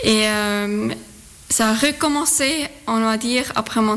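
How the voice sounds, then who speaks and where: A woman with a Swiss German accent, high-pitched and very slow, over noticeable background noise. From Zurich, Switzerland. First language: Swiss German (speaking French). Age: 30s. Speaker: amateur runner. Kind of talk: radio interview. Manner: halting.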